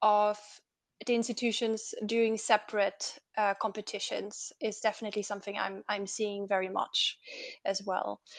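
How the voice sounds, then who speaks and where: Against a quiet background, a woman speaks in a flat monotone at a moderate pace and a fairly high pitch. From Austria. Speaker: parliamentary policy advisor. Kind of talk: online seminar talk. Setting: online seminar.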